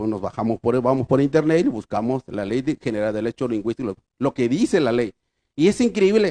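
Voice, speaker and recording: Lively intonation marks a man's dark, mellow voice of medium pitch, heard dry and close with no echo. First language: Triqui (speaking Spanish). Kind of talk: conference lecture. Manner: halting.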